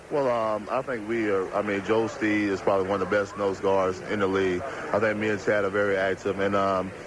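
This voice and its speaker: A man talks fairly briskly as clearly audible noise runs in the background. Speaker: professional football linebacker. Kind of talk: interview answer.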